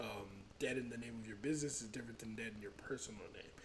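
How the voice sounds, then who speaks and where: The speech comes at a very fast pace in a somewhat breathy voice. Room echo is audible. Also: man. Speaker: finance YouTuber. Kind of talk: tutorial.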